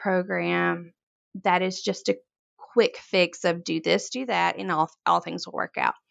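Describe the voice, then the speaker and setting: A woman's voice with a Mississippi accent, dry and close with no echo, against a quiet background. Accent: Southern US (Mississippi). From US South, Corinth, Mississippi. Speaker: floral designer and business owner. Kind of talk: interview.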